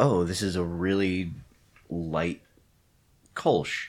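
This is a man talking. He speaks with an American accent. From US Mid-Atlantic (Maryland, central Pennsylvania). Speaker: brewer. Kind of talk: casual chat.

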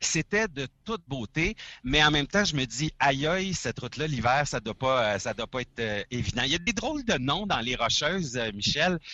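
A man talks with a Quebec accent at a fairly high pitch. His pitch swings very widely at a moderate pace. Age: 40s. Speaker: trucker, former radio host. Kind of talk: casual chat.

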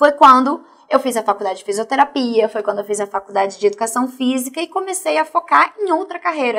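The speaker's pitch swings very widely at a very fast pace. There are hardly any pauses. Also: woman, high pitch for a woman. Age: 40s. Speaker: martial arts athlete and fitness coach. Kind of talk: interview testimony.

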